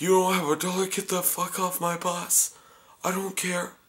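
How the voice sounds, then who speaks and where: Using a put-on character voice, a man speaks at a high pitch and a moderate pace in a monotone, flat intonation. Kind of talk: dismissive, crude. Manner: sarcastic, mocking.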